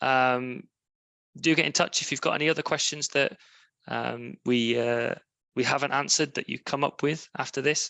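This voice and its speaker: In a British accent, a man speaks at a moderate pace with a bright, sharp tone, a fairly high pitch, fairly even intonation and a dry, close sound with no echo. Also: quiet background. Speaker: charity fundraising platform presenter. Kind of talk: webinar presentation with Q&A. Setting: online webinar. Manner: hesitant, many fillers.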